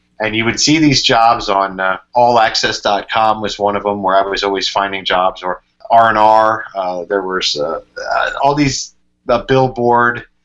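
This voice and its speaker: With an American accent and a normal speaking voice, a man talks at a fairly slow pace, his pitch fairly low with ordinary variation. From Pennsylvania, Berks County. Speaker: sports radio reporter and play-by-play announcer. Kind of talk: casual interview chat.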